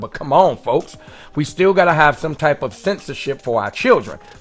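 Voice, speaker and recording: With an American accent, a man speaks at a very fast pace and fairly high pitch, his intonation lively over music in the background. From Richmond, California. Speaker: podcast host. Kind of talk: casual chat; scripted monologue.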